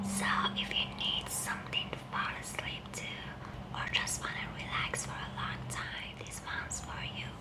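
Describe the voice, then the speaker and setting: A woman whispers in a soothing tone at a moderate pace over noticeable background noise. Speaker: ASMR creator. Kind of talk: whispered bedtime storytelling (ASMR). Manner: whispered, soft-spoken, soothing.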